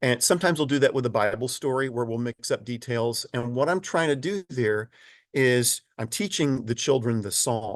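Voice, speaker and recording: A man with an ordinary speaking voice, medium pitch and ordinary pitch variation at a moderate pace, against a quiet background with a dry, close sound and no echo. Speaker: children's choir director and presenter. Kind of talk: webinar presentation. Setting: online webinar. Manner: casual, conversational with fillers.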